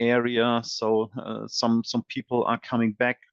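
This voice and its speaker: A man with a German accent and a medium pitch, the sound dry and close with no echo, over a quiet background. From Germany. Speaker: software company presales expert. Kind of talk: webinar presentation. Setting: online webinar. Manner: halting, many fillers and repeated words.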